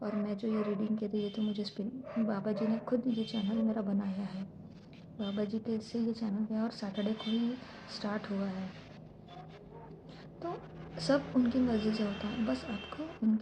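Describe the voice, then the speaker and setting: Speech comes at a fairly slow pace with long, frequent pauses and fairly even intonation over noticeable background noise. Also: woman. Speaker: spiritual reader, channel host. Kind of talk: tarot-style spiritual reading.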